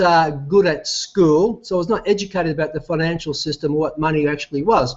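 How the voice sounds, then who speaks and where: Fairly quick and high-pitched, a man talks with an Australian accent and ordinary pitch variation. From Australia, Melbourne area. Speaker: company CEO. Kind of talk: business presentation. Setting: online video call while traveling. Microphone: echo and weak internet connection.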